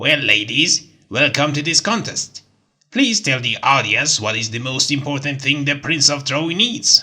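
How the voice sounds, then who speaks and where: A put-on character voice sits at a low-to-middle pitch. Its tone is playful and theatrical, moving at a moderate pace. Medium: read story. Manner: playful, theatrical.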